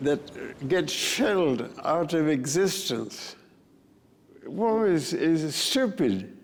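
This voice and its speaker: A man's fairly high voice with very wide pitch swings, a very slow pace, long, frequent pauses and noticeable background noise. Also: very even loudness. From Argentina. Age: 80s+. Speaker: war veteran. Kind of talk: interview answer.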